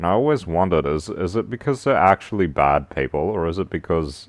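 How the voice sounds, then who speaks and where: A man speaks at a moderate pace with a very deep, low pitch, vocal fry and lively intonation. The sound is dry and close with no echo, over a quiet background. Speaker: streamer. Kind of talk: casual livestream monologue. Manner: halting, many fillers.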